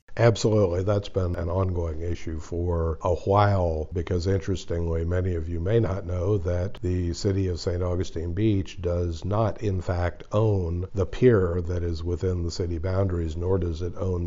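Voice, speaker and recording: The voice is somewhat breathy, with fairly even intonation. It moves at a moderate pace with hardly any pauses. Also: man. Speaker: public policy director, co-host. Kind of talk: casual policy podcast discussion.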